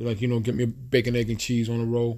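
A man is speaking. His voice has a dark, mellow tone. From New York City (Queens). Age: 30s. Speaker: podcast host. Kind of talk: solo rant. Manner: animated.

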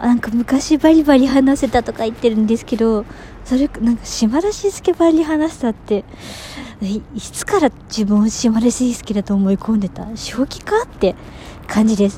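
Over noticeable background noise, a woman's fairly high voice shows ordinary pitch variation and big swings in loudness. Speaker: beginner podcaster. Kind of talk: casual monologue. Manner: slow; halting.

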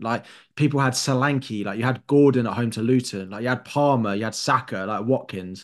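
A man talks in a London accent with ordinary pitch variation. The background is quiet. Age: 20s. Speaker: fantasy football pundit. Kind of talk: casual chat. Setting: video call.

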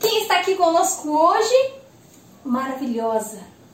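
A woman speaks in an animated tone at a moderate pace. Audible room echo surrounds her voice. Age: 20s. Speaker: podcast host. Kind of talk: casual chat. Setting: at home.

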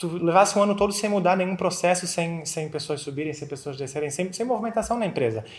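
A man speaks with a Florianópolis accent. His pitch is high. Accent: Florianópolis accent, noticeable. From Florianópolis, southern Brazil. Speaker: accountant. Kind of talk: casual interview chat.

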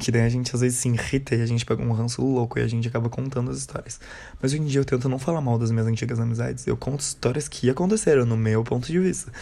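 Talking at a very fast pace, a man has a dark, mellow tone, medium pitch and fairly even intonation. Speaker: podcaster. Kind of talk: casual monologue.

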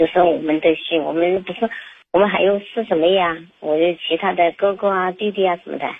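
In a Chongqing accent, the speaker goes at a fairly quick pace with fairly even intonation. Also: woman, medium pitch for a woman. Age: 50s. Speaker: caller. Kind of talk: phone call-in. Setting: phone call. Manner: halting.

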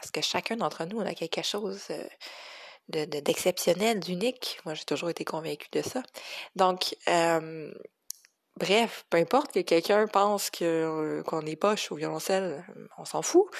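The speaker, with a Quebec accent, goes at a fairly slow pace with long, frequent pauses, ordinary pitch variation and big swings in loudness. The background is quiet. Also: woman, fairly low pitch for a woman. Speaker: cello teacher. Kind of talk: solo podcast reflection. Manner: hesitant, many fillers.

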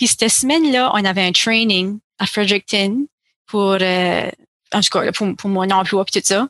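In a normal speaking voice, a woman talks at a fairly slow pace with ordinary pitch variation and very even loudness, the sound dry and close with no echo. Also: medium pitch for a woman. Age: 30s. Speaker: counselling therapist. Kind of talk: interview conversation.

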